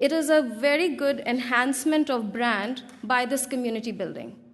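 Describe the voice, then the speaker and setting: A woman's high voice, with ordinary pitch variation and a moderate pace. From India. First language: not English. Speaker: service design strategist. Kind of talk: conference talk.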